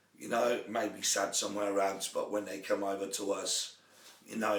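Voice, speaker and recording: Noticeable background noise runs behind a man speaking. Audible room echo is present too. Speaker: sports coach. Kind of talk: live talk show monologue. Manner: halting, many fillers.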